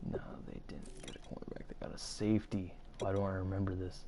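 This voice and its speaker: Audible room echo surrounds a man's voice. He moves at a fairly quick pace with fairly even intonation. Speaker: gaming youtuber. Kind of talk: gameplay commentary. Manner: casual, halting.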